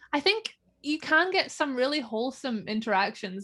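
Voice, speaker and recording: A woman talks at a moderate pace in a Northern Irish accent. The recording is very clean, with a silent background. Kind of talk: casual interview chat. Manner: casual, chatty.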